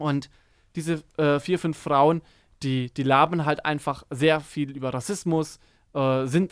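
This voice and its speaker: The delivery is flat and monotone at a fairly slow pace. The recording is very clean, with a silent background. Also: man. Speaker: podcast host, media studies student. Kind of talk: casual chat. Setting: studio.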